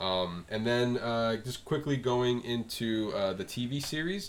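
A man's normal speaking voice with lively intonation and an American accent. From South Florida. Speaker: film podcast host. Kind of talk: casual chat.

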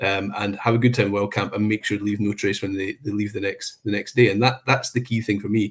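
In a very clean recording with a silent background, a man with a Scottish accent talks at a fairly quick pace, somewhat breathy and in a monotone, flat intonation. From Scotland, Perthshire. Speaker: national park chief executive. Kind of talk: interview. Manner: hesitant, many fillers.

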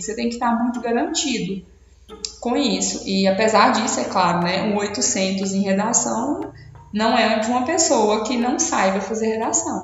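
Speaking at a moderate pace in a fairly high pitch, a woman is heard over noticeable background noise with audible room echo. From Brazil, Minas Gerais (Paracatu). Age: 20s. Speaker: medical student. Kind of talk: interview.

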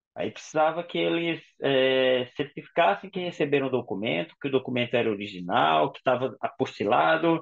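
A man speaks with big swings in loudness and very wide pitch swings, hardly pausing at all. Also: medium pitch for a man, moderate pace. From Brazil, Paraíba. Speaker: intensive care doctor. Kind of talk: interview.

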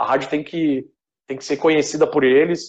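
Here a man talks with a fairly high pitch. His pace is moderate and his intonation fairly even. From Rio Grande do Sul, Brazil. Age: 30s. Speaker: web radio founder. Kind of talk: casual chat.

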